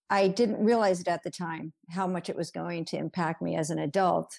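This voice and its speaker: A woman speaks with a dark, mellow tone at a fairly low pitch, with vocal fry and fairly even intonation. The recording is very clean, with a silent background. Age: 60s. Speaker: marriage and family therapist. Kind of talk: interview. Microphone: technical issues on her end.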